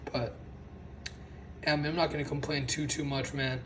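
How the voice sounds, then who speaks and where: A man speaks at a fairly high pitch. Noticeable background noise is present. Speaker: toy reviewer. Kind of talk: casual unboxing talk to camera. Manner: stutters and slurs words.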